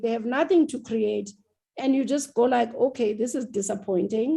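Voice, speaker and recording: A woman speaks with a high pitch and a dark, mellow tone. Her pace is moderate and her pitch variation ordinary. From South Africa. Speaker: TV writer and producer. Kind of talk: interview. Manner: loud; animated.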